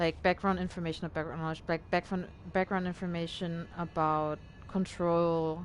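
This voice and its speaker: This woman has a fairly low-pitched voice. She speaks with a non-native accent. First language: not English. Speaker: video game streamer. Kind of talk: casual live-stream commentary. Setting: live stream. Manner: hesitant, many fillers.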